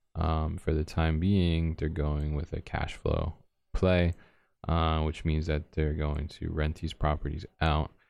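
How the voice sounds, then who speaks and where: Against a quiet background, a man with a very deep pitch and a dark, mellow tone talks fairly slowly in a monotone, flat way. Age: 30s. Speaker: radio host and real estate agent. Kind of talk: radio talk show monologue. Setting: college radio studio. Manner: casual with frequent fillers.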